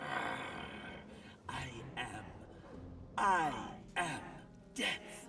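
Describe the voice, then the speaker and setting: With clear music in the background, a man uses a put-on character voice at a high pitch. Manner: unconvincing snarl; mock-menacing.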